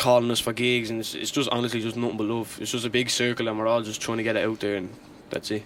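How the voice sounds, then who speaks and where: Over noticeable background noise, a man with a Dublin accent talks very fast in a flat monotone at a medium pitch. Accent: Dublin Irish accent, raps in it now. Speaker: rapper. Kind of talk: casual radio interview. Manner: casual, uses many fillers.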